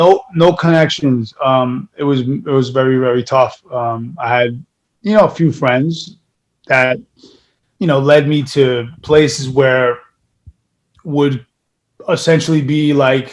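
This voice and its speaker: Speaking very slowly with long, frequent pauses, a man with a New York accent uses a fairly high pitch and ordinary pitch variation. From New York (Brooklyn, raised in Queens). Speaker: actor. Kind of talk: casual interview.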